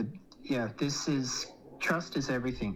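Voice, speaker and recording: Fairly even intonation from a man with an Australian accent. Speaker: economic commentator. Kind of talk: interview. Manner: hesitant, with fillers.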